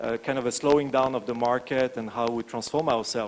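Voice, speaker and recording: A man speaks here in a medium pitch. His pitch varies in an ordinary way. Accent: French. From France. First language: French. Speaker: branding agency founder and CEO. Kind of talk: conference talk. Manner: hesitant, many filler words.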